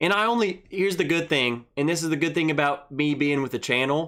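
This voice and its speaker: A man speaks with a Southern US accent and a bright, sharp tone. The pace is moderate, and the recording is very clean with a silent background. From Arkansas. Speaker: whiskey livestream host. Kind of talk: casual chat. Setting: livestream.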